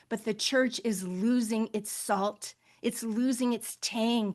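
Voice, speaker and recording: In a quiet background, a woman speaks at a fairly slow pace with fairly high pitch and fairly even intonation. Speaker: faith-based global health advocate. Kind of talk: panel webinar remarks. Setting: online webinar. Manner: impassioned, emotional.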